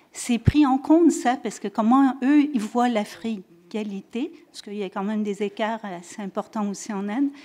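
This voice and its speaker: Fairly slow female speech in a dark, mellow tone, ordinary in its pitch variation. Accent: slight French-Canadian. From French Canada. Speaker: audience member asking a question. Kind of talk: audience question. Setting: conference room with audience. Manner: halting.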